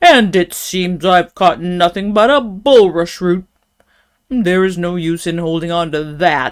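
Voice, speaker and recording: Using a put-on character voice, a woman of medium pitch speaks at a fairly slow pace with ordinary pitch variation. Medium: read story. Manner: grumbling, determined.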